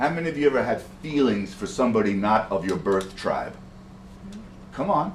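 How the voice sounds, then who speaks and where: Speaking at a fairly quick pace, a man with an American accent and medium pitch swings his pitch very widely, with long pauses coming often. Audible room echo is present. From New York City (Bronx). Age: 60s. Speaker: poet and storyteller. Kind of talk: performance to audience. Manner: animated.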